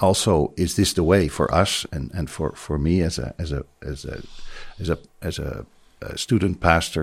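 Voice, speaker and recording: A man with a Dutch accent speaks in a very deep, low voice with vocal fry. His pace is moderate, and the recording is very clean with a silent background. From Netherlands. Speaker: pastor. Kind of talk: interview. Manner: halting.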